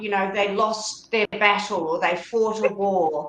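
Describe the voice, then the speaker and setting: Speaking at a fairly slow pace, a woman has a plain, everyday voice. Her pitch is fairly high and her intonation fairly even. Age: 60s. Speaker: death doula. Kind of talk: interview.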